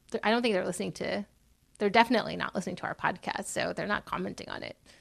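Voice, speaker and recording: Over a quiet background, a woman in a Californian accent talks at a medium pitch with ordinary pitch variation. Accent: General American (California). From California, US. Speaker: podcast co-host, storyteller and activist. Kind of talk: interview. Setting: in person in Los Angeles.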